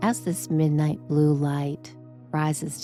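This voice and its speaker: With music in the background, a woman speaks at a very deep, low pitch. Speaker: sleep hypnosis guide. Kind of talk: guided sleep meditation. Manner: slow, gentle, soothing.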